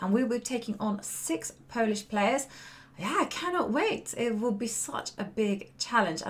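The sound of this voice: Amid light background noise, a woman does a put-on character voice that is croaky and hoarse, fairly high in pitch, with lively intonation at a moderate pace.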